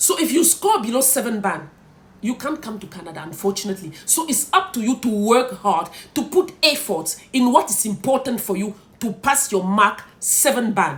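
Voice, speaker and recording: With a Cameroonian accent, a woman speaks at a moderate pace in a fairly high pitch, her pitch swinging very widely. Noticeable background noise is present. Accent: Cameroonian francophone English. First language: French. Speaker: content creator. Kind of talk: vlog advice talk.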